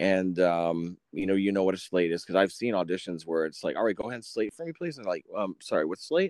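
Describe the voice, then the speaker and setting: A man speaks very fast with hardly any pauses, his very deep, low voice showing ordinary pitch variation in a dry, close sound with no echo. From Wisconsin, later Florida. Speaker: actor and producer. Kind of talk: interview.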